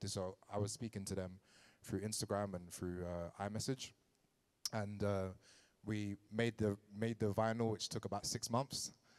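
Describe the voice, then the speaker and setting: With a London accent, a man talks at a fairly low pitch in a monotone, flat intonation, taking long, frequent pauses against a quiet background. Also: moderate pace. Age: 30s. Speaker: DJ and artist manager giving a lecture. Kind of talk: lecture. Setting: venue with live audience. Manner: casual, many fillers. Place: hall. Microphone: handheld.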